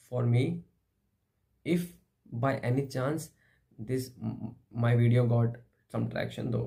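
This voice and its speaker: Here a man with an Indian accent speaks at medium pitch with a dark, mellow tone and vocal fry. His pace is fairly slow, with ordinary pitch variation. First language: Hindi. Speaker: philosophy vlogger. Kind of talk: philosophical monologue. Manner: halting.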